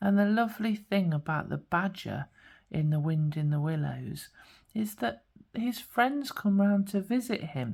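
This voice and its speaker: A woman speaks at a fairly slow pace in a medium pitch, her voice somewhat breathy. Her pitch swings very widely. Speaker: spiritual guidance coach and tarot card reader. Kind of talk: pick-a-card tarot reading to camera. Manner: gentle, warm, soothing.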